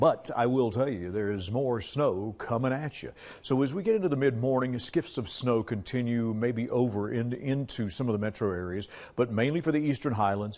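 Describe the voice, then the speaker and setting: An unremarkable speaking voice with an American accent moves at a moderate pace with ordinary pitch variation against a quiet background. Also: man, medium pitch for a man. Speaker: local TV weather forecaster and news anchor. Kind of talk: TV weather forecast broadcast. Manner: upbeat, jokey, conversational.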